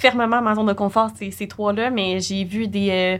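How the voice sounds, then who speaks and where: A woman speaks at a very slow pace. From Quebec. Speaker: podcast co-host. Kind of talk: casual chat.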